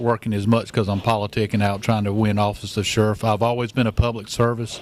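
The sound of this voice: A man's fairly low voice, slightly mellow in tone, with little pitch movement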